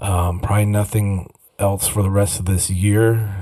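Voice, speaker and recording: With a Minnesota accent, a man speaks at a fairly slow pace in a fairly low pitch, somewhat breathy with a dark, mellow tone. The recording is very clean, with a silent background. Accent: Minnesota upper Midwest. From US upper Midwest, Minnesota. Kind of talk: casual monologue. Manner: halting, many repeats and fillers.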